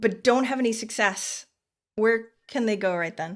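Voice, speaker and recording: On a very clean recording with a silent background, a woman speaks in a normal speaking voice at a moderate pace with ordinary pitch variation. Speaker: podcast host. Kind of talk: interview questions.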